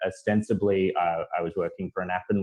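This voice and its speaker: Fairly quick speech from a man with an Australian accent. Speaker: content writer and marketer. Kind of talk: panel discussion.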